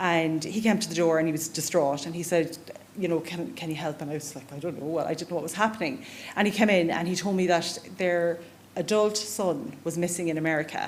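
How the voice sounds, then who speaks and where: A woman speaks with an Irish accent at a fairly quick pace. Audible room echo can be heard. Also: ordinary pitch variation. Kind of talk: conference talk. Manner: fast.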